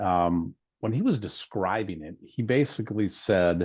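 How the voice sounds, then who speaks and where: In a dry, close recording with no echo and a quiet background, a man speaks with a very deep, low pitch and ordinary pitch variation. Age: 60s. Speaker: wealth strategist. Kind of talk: webinar conversation.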